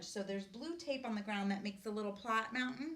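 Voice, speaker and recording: A woman's fairly high, fairly quick voice with lively intonation and audible room echo. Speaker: teacher trainer. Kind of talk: presentation to teachers. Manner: fast.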